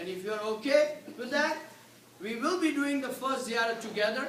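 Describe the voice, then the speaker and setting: The voice is loud and moves at a moderate pace. Noticeable background noise is present. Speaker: pilgrimage tour organizer. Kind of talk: information seminar.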